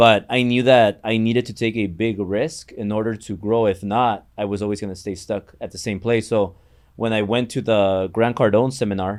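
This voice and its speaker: At a moderate pace, a man with a Mexican accent talks in a fairly low voice with fairly even intonation. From Mexico. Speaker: entrepreneur and mortgage business owner. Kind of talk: podcast interview.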